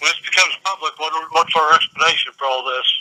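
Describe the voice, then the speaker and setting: The recording of a man has a dry, close sound with no echo. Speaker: city mayor. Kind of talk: private conversation, secretly taped argument.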